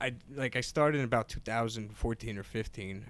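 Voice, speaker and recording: A man with an American accent speaks in an ordinary speaking voice. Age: 20s. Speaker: comedian. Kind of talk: casual chat. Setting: podcast studio.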